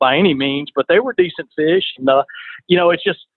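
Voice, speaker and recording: A man with an Alabama accent talks at a fairly quick pace in a fairly high pitch, his intonation lively. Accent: Alabama Southern. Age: 50s. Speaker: fishing charter captain. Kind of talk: casual chat.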